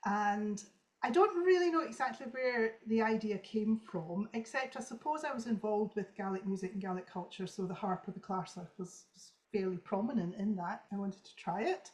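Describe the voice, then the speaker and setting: Her intonation lively and her loudness swinging widely, a woman with a Scottish accent speaks at medium pitch. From Scotland. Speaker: traditional harpist. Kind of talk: interview. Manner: fast.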